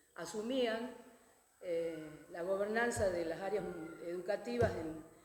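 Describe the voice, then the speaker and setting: In a room with audible echo and noticeable background noise, a woman speaks at a fairly slow pace with a medium pitch and ordinary pitch variation. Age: 60s. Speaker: educator and former education official. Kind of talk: panel talk. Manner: hesitant, many fillers.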